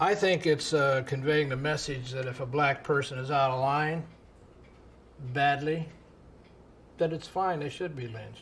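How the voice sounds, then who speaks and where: A man with an American accent speaks at a fairly high pitch and a moderate pace. His intonation is fairly even, and he takes long, frequent pauses. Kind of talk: documentary interview.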